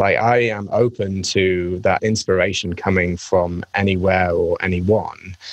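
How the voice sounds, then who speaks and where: The speaker has an English accent and a fairly slow pace. Loudness stays very even, and the intonation is monotone and flat. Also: man, very deep, low pitch for a man. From England. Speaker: marketing executive. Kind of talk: casual interview chat.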